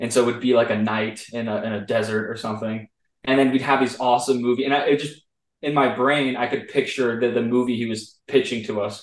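A man's normal speaking voice at a medium pitch, fairly even in intonation, at a fairly quick pace. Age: 20s. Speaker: 3D animation artist, former student. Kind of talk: interview. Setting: video call.

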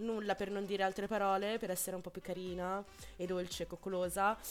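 At a fairly quick pace, a woman talks at medium pitch. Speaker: radio host. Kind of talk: casual chat. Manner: fast.

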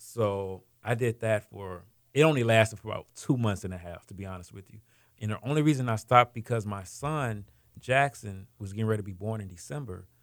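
Recorded very cleanly against a silent background, a man with an American accent and a fairly low, normal speaking voice talks at a fairly quick pace, with ordinary pitch variation and big swings in loudness. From Houston, Texas. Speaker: food truck entrepreneur. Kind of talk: interview.

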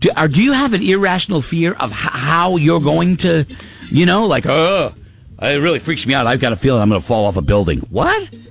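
A man's fairly high voice with very wide pitch swings, a fairly quick pace and noticeable background noise. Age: 50s. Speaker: morning radio host. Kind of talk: casual chat. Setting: studio. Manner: animated.

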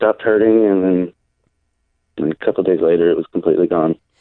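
The speaker is a man with a fairly low pitch. His pitch variation is ordinary. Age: 30s. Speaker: restaurant worker, former pipeline worker. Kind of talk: radio interview, personal story. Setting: phone call. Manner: halting.

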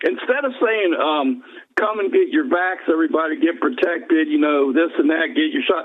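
Noticeable background noise accompanies a man talking at a moderate pace with very wide pitch swings. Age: 60s. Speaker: caller. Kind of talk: phone call comments. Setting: phone call. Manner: halting, repeats words.

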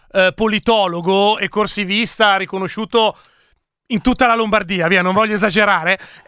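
A man with a high voice and a bright, sharp tone speaks in a raised, projected way, recorded very cleanly against a silent background. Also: moderate pace. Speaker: radio host. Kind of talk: casual live radio chat, election night. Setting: studio. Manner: joking, animated.

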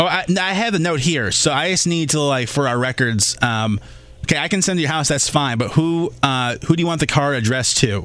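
In a plain, everyday voice, a man with a fairly high pitch talks at a fairly quick pace with lively intonation. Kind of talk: radio dj patter. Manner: bubbly, rapid-fire morning-show banter; upbeat, wisecracking, quick to laugh.

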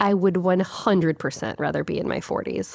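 A woman speaks in a normal speaking voice, fairly low in pitch, at a moderate pace. The recording is very clean, with a silent background. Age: 30s. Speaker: podcast host. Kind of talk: reflective monologue. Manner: calm.

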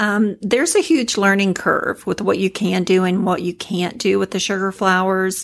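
A woman's medium-pitched voice, a plain, everyday voice, at a moderate pace on a very clean recording with a silent background. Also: fairly even intonation, hardly any pauses. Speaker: cake designer. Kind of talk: interview chat.

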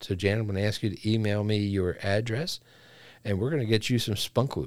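At a moderate pace, a man talks in an ordinary speaking voice with a fairly low pitch, on a very clean recording with a silent background. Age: 50s. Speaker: podcast co-host. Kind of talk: casual chat.

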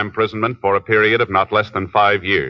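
Fairly low in pitch, a man with an ordinary speaking voice talks at a fairly quick pace. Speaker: radio drama announcer. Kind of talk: 1950s radio drama, Dragnet.

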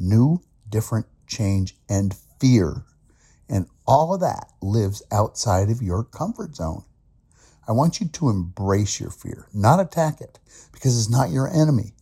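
A man speaks at a fairly slow pace and medium pitch, his dark, mellow tone somewhat breathy and his intonation lively. The sound is dry and close with no echo, on a very clean recording with a silent background. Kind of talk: motivational pep talk. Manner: emphatic, rallying, direct address that builds momentum.

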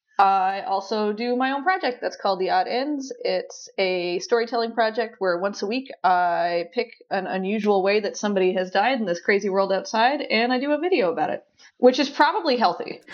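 With an ordinary speaking voice, a woman talks fairly high and fairly quick, with lively intonation and hardly any pauses. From Newfoundland, Canada. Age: 30s. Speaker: comedian. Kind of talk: casual interview chat.

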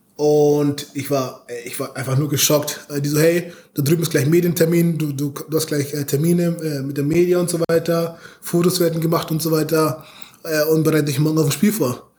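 A man with a fairly high pitch speaks in a monotone, flat way. Noticeable background noise runs underneath. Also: moderate pace. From Bavaria, Munich. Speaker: American football player. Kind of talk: interview.

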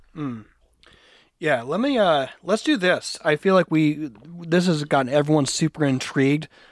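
Against a quiet background, a man talks at a moderate pace with ordinary pitch variation. He has an ordinary speaking voice, fairly high in pitch. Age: 40s. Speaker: podcast co-host. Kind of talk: casual interview.

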